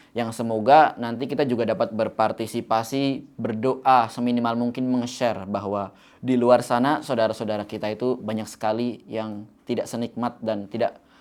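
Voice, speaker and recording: At a moderate pace, a man with a slight Javanese accent talks in a medium pitch with fairly even intonation on a very clean recording with a silent background. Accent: slight Javanese (medok). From Java, Indonesia. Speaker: youth motivational speaker. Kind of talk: motivational talk. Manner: casual, conversational.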